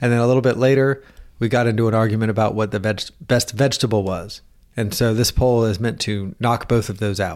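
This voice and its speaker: Fairly even intonation from a man with a Southern US accent. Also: medium pitch for a man, fairly quick pace. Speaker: podcast host. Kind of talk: casual chat.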